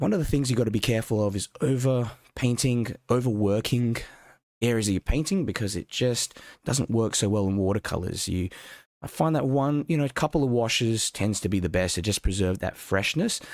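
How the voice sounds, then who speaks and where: On a very clean recording with a silent background and a dry, close sound with no echo, a man with an Australian accent speaks at a fairly quick pace, medium in pitch with ordinary pitch variation. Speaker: watercolour art teacher. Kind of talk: live-stream painting workshop. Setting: live stream. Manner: casual, conversational.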